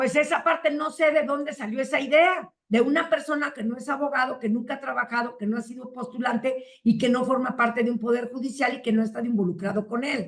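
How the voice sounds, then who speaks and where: A woman with a Mexican accent and a high pitch speaks fairly quickly with ordinary pitch variation and hardly any pauses. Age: 60s. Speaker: family lawyer. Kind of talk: interview.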